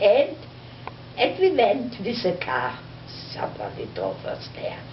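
A woman's very slow speech over noticeable background noise. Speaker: storyteller. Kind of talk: personal storytelling. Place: home room.

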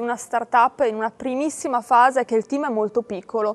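At a fairly quick pace, a woman speaks in a high voice with fairly even intonation. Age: 20s. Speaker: startup marketing manager. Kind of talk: interview. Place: hall. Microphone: lapel.

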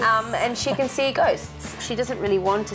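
A woman at a moderate pace, with clear music in the background. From Australia. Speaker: actress. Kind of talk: interview answer. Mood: relaxed, enthusiastic. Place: studio.

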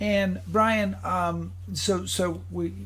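There's lively intonation and a somewhat breathy quality as this man speaks. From Rhode Island. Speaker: podcast host. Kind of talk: casual chat. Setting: video call. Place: home room.

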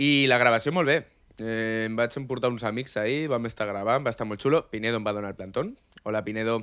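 A man rattles along at a very fast pace, with ordinary pitch variation, against a quiet background. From Catalonia, Maresme (Vilassar de Mar); Catalonia. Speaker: amateur reggaeton musician; radio guest. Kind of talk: casual chat. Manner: animated. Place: studio. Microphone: studio mic.

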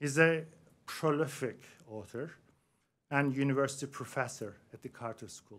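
A man's fairly slow delivery with ordinary pitch variation. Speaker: host introducing a lecturer. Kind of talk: formal introduction speech. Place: hall.

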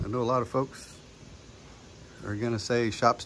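A man's voice over light background noise. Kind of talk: casual walkthrough tour. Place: workshop. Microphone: phone near.

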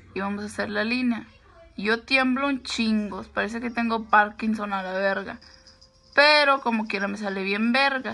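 Speaking at a fairly slow pace, a woman has a fairly high pitch and a bright, sharp tone. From US, California, Mexican-American (Michoacán parents). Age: 20s. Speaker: makeup vlogger. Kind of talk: makeup tutorial. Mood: brash, crude, playful. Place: home room. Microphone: phone near.

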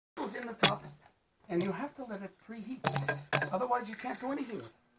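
A man talks at a very fast pace. Loud background noise runs beneath him. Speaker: letterpress printer. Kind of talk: hands-on machine maintenance demonstration. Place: workshop. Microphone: camera far.

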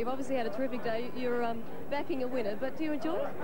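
Crowd noise fills the background as a woman talks at a very fast pace. Her pitch varies in an ordinary way. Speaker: TV interview presenter. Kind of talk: interview. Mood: cheerful, laughing. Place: tent. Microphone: handheld.

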